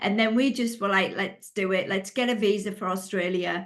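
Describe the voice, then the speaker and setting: A woman speaks at a medium pitch in a monotone, flat intonation. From northern England, Middlesbrough. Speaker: life coach. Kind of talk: interview.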